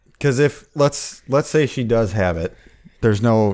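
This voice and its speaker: An unremarkable speaking voice moves at a moderate pace with ordinary pitch variation. The recording is very clean and the background silent. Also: man. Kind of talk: casual chat. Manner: profane, casual banter.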